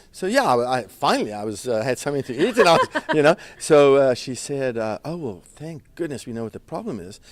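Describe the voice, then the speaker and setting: Talking fairly quickly in a South African accent, a man uses lively intonation, big swings in loudness and a fairly high pitch. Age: 60s. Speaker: chef and restaurant owner. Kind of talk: interview. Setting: red carpet event. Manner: halting with fillers.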